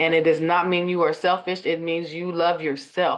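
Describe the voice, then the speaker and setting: In an American accent, a woman with a fairly low pitch and an unremarkable speaking voice talks at a fairly quick pace. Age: 40s. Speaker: life coach. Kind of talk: interview.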